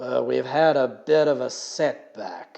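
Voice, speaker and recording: Raspy and fairly high-pitched, a man performs a put-on character voice. His pace is fairly slow. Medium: read story. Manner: gruff, blunt.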